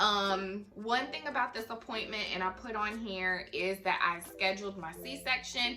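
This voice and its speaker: A woman talks at a fairly slow pace with hardly any pauses. Noticeable background noise runs behind her. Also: medium pitch for a woman, ordinary pitch variation. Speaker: lifestyle vlogger. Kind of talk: casual vlog update. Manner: animated.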